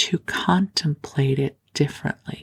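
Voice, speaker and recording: A woman speaks in a soothing tone with vocal fry. Her pitch variation is ordinary. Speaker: sleep podcast host and spiritual teacher. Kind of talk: sleep podcast talk. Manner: soft-spoken, slow, soothing.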